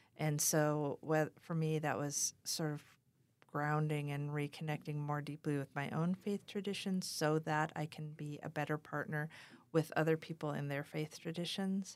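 A woman speaks in a very deep, low voice with a monotone, flat delivery at a moderate pace. The recording is very clean, with a silent background. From North Dakota. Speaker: pastor. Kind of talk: interview conversation. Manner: halting, with frequent fillers.

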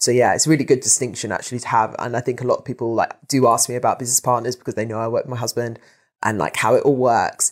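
Over a very clean recording with a silent background, a woman with a very deep, low pitch speaks very fast and with fairly even intonation. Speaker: podcast host. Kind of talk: interview.

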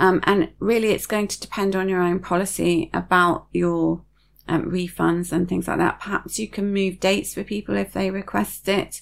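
The pace here is moderate. An accent that is British comes through. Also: woman. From UK. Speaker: podcast host and serviced accommodation host. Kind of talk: solo podcast monologue, informational. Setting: video recorded podcast. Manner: calm, measured, informative.

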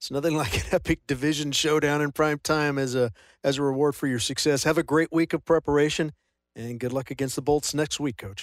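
A man with a plain, everyday voice talks at a fairly quick pace with a fairly high pitch and fairly even intonation, in a dry, close sound with no echo on a very clean recording with a silent background. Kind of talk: sideline interview with reporter questions. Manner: measured, professional, clear.

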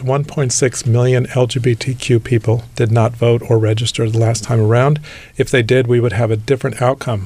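A man with an American accent speaks fairly slowly in a medium-pitched, somewhat breathy voice. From Southern California (Whittier). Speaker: nonprofit executive and LGBT fundraiser. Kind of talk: interview.

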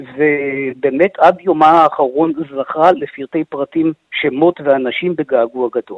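A man's voice with a fairly high pitch. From Israel, Nahalal. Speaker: author and biographer. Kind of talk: radio interview.

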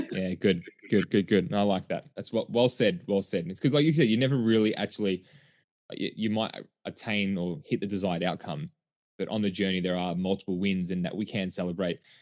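Against a quiet background, a man with an Australian accent speaks at a very fast pace with a fairly low pitch and ordinary pitch variation. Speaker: podcast host. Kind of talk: podcast interview. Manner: animated.

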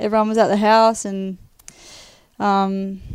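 A woman with an Australian accent speaks at a medium pitch and a fairly slow pace. Her intonation is monotone and flat, on a very clean recording with a silent background. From Western Australia, Perth. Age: 20s. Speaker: professional footballer. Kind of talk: interview testimony. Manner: hesitant, many fillers.

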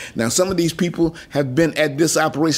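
A man with a Detroit accent speaks in a fairly high pitch. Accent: northern US, Detroit. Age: 70s. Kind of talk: interview recollection. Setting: in-person at home.

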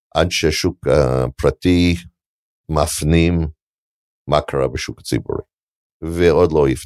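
Very deep, low male voice with an English accent, in a dry, close sound with no echo. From Canada. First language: English (speaking Hebrew). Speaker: venture capital investor. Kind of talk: onstage interview.

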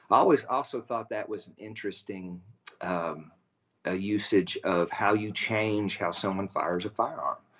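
A man talks at a fairly slow pace with a West Texas accent. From West Texas, near Abilene. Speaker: inventor and business owner, Air Force veteran. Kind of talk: radio interview. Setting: remote call.

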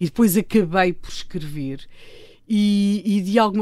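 A woman's unremarkable speaking voice, with ordinary pitch variation and a moderate pace. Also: very clean recording, silent background. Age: 60s. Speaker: political commentator and columnist. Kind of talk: casual interview. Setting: radio studio.

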